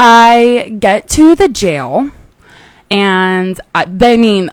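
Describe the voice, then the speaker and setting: A woman speaks loudly at a medium pitch. Her intonation is lively. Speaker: podcast host, Marine Corps veteran. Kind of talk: personal story on a podcast. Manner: runs words together.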